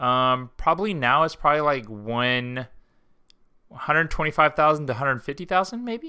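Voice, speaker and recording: A man's normal speaking voice, fairly high in pitch, with an American accent, lively intonation and a moderate pace. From West Texas (Abilene). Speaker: streamer. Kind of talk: casual chat. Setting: live stream.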